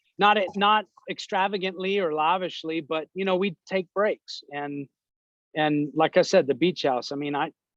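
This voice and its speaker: Loud and dry, the close sound has no echo as a man speaks with a high pitch. His pace is moderate, with ordinary pitch variation. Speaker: real estate agent. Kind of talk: interview. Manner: casual, conversational.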